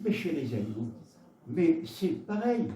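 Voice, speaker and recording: In a southwestern French accent, the speaker is heard with audible room echo and noticeable background noise. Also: man. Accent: Gascon. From Gascony, southwest France. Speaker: preacher. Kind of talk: sermon. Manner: halting, with repetitions.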